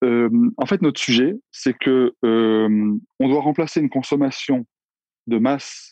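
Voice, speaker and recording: A man's dark, mellow voice at a very slow pace, dry and close with no echo. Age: 40s. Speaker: entrepreneur. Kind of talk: interview.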